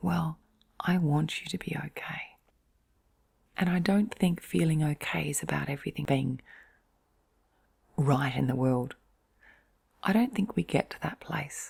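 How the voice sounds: A woman's low voice, slightly mellow with a slightly husky edge and vocal fry, at a fairly slow pace with long, frequent pauses and ordinary pitch variation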